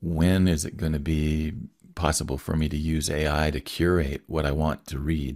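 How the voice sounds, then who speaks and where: A man speaks at a very deep, low pitch with vocal fry. The recording is very clean, with a silent background. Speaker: podcast host. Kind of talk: casual interview conversation.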